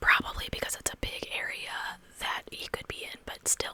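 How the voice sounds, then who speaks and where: A woman whispers at a moderate pace over noticeable background noise. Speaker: true crime ASMR creator. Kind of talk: whispered true crime storytelling. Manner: whispered.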